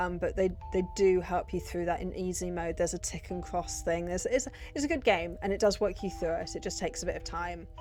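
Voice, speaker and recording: With music in the background, a woman with a British accent talks at a very fast pace. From Britain. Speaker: gaming youtuber. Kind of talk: casual chat.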